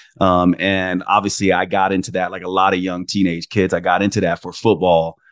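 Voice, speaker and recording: A man with a plain, everyday voice talks at a fairly quick pace in a fairly low pitch. The sound is dry and close with no echo against a quiet background. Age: 50s. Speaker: naturopathic doctor and podcast host. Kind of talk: interview conversation.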